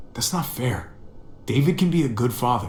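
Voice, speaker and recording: A man puts on a character voice at medium pitch with lively intonation. He keeps a moderate pace over clear background noise. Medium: video game.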